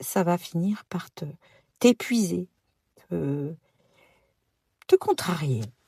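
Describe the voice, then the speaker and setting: Long, frequent pauses break up a woman's very slow speech. The sound is dry and close, with no echo. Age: 60s. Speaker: podcast host, personal development coach. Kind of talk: podcast monologue. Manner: hesitant, many fillers.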